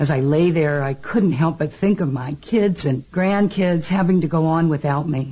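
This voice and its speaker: A woman's somewhat breathy voice, very deep and low in pitch. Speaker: consultant and author. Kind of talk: interview advice.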